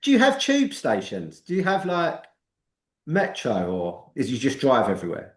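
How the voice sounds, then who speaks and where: A man at a moderate pace, with audible room echo. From London, England. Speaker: podcast host. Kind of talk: casual interview chat.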